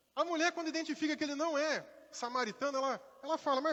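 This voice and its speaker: Very fast and animated, a man speaks with an extremely high pitch for a man and a bright, sharp tone. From Brazil, Rio de Janeiro, raised in interior Minas Gerais. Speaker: pastor. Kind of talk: sermon. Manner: conversational, animated.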